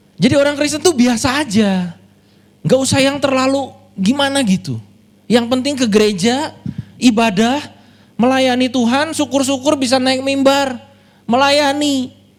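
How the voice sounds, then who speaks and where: In a Sundanese accent, a man speaks at a moderate pace with an animated tone, an extremely high pitch and ordinary pitch variation. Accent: Sundanese-accented Indonesian. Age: 30s. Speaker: pastor. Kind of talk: sermon.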